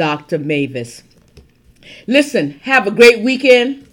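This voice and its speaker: A woman is speaking. Her tone is animated. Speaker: podcast host. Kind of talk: podcast hosting with interview and conference promo.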